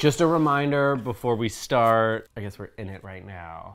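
This man talks with lively intonation. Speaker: co-host of reaction show. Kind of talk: casual vlog chat. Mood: playful, joking. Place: home room.

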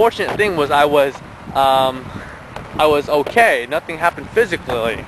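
A man with a fairly high pitch talks at a moderate pace with lively intonation, in a dry sound with no echo over noticeable background noise. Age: 20s. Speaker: entrepreneur vlogger. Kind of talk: personal story vlog. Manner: hesitant, many fillers. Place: open country. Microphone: phone near.

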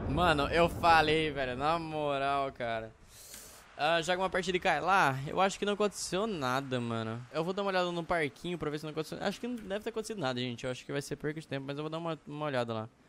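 Very fast and with lively intonation, a man speaks at a fairly high pitch. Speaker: gaming youtuber. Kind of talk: gameplay commentary. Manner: excited.

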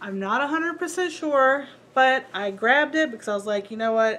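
The speaker talks at a moderate pace with lively intonation, with light background noise behind. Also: woman. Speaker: reseller showing a thrift haul. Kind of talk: casual vlog chat. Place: home room.

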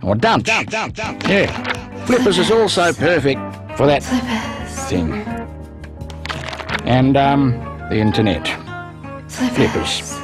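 Very slow, upbeat speech from a man at medium pitch, with very wide pitch swings, dry sound with no echo, and clear music in the background. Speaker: voice actor. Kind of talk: TV commercial read. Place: booth. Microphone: studio mic.

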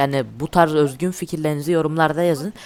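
A man at a fairly high pitch, with fairly even intonation and a fairly quick pace. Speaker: gaming YouTuber. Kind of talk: gameplay commentary.

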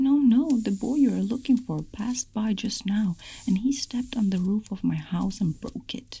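A woman's put-on character voice at a medium pitch, dark and mellow in tone with a husky, rough edge and vocal fry, ordinary pitch variation and a fairly slow pace

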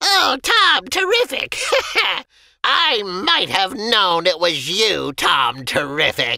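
A man's put-on character voice, shrill and high-pitched, at a very slow pace. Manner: sneering, shrieking, cackling.

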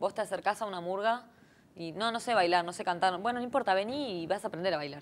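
The pace of this woman's speech is very fast. Her pitch varies in an ordinary way. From Argentina, Buenos Aires. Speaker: singer; interview guest. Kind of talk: interview. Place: studio.

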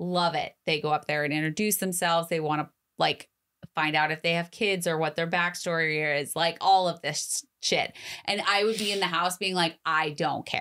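In a quiet background, a woman with a bright, sharp tone and fairly low pitch talks at a moderate pace with fairly even intonation. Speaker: podcast co-host. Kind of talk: casual chat. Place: studio. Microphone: studio mic.

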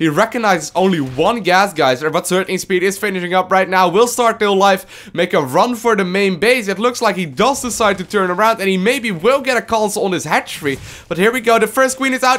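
A man's animated tone with lively intonation at a fairly quick pace. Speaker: esports commentator. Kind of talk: live esports commentary on a StarCraft 2 match, play-by-play. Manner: animated, quick play-by-play, reacting to each move as it happens; casual, chatty, with fillers and hedges like 'um' and 'if I'm not mistaken'.

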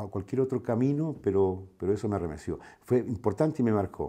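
Man with a dark, mellow tone and fairly low pitch, fairly quick pace, quiet background. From southern Chile (Valdivia); Chile. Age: 50s. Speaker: radio broadcaster. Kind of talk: personal testimony interview. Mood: warm, reflective. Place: home room.

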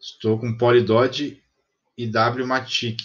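A man speaks with fairly even intonation at a medium pitch. His voice is somewhat breathy. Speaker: crypto investing YouTuber. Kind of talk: screen-recorded tutorial. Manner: casual, thinking aloud.

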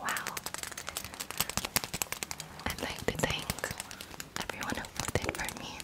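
Someone whispers in a soft-spoken, playful way. The pace is fairly slow. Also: woman. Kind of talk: ASMR roleplay chat. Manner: soft playful ASMR whisper. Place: home room. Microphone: handheld.

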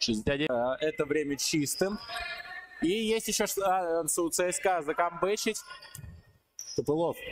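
An animated man with a high voice and lively intonation, plus noticeable background noise. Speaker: sports commentator. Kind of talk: live basketball commentary over video highlights. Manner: animated, excitable, with frequent 'ой-ой-ой' exclamations.

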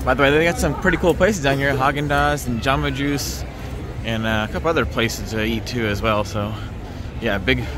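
A man at a fairly quick pace with very wide pitch swings, a dry sound with no echo, and noticeable background noise. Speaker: vlogger. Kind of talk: casual vlog chat. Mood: excited, cheerful. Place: street. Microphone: phone near.

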